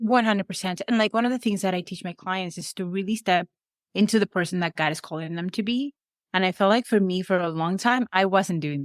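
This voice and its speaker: In a very clean recording with a silent background and a dry, close sound with no echo, a woman with a Venezuelan accent speaks very fast at a medium pitch with ordinary pitch variation. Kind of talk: podcast interview.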